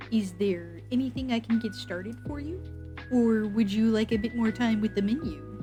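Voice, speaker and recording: Over clear music in the background, a woman does a nasal put-on character voice at a moderate pace. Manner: welcoming, polite.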